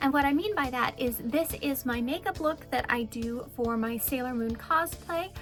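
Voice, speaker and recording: Over music in the background, a woman talks in an upbeat tone with a high pitch. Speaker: opera singer and cosplayer. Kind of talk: casual talk to camera, channel intro. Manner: upbeat, friendly.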